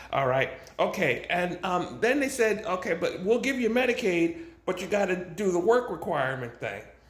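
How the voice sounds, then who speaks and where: Audible room echo surrounds a man whose high pitch swings very widely as he talks at a moderate pace. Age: 60s. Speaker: vlogger. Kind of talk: casual monologue to camera. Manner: halting, repeats words.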